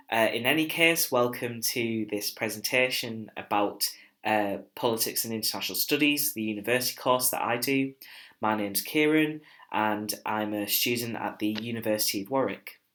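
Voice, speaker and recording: The recording is very clean with a silent background. A man with a northern English accent speaks at medium pitch in a bright, sharp tone. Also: ordinary pitch variation, moderate pace. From northeast England. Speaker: university student. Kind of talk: recorded presentation. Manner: hesitant, with filler words.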